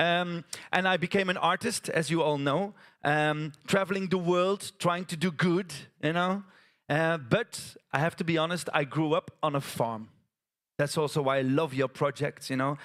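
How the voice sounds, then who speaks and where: Over a very clean recording with a silent background, a man with a Flemish accent speaks at a moderate pace in an animated tone, his pitch fairly high and his loudness very even. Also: ordinary pitch variation. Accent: Flemish Dutch accent in English. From Belgium, West Flanders. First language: Dutch (West Flemish). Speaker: theatre artist, storyteller. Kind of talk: stage storytelling performance. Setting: stage with audience at a conference. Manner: animated, gesturing.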